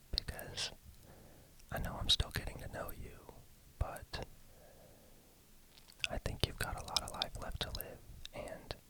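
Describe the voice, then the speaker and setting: Whispering in a gentle tone at a fairly slow pace, a man leaves long, frequent pauses while noticeable background noise runs underneath. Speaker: ASMR creator. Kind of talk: ASMR personal questions, whispered talk to listener. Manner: gentle, whispered, soft-spoken.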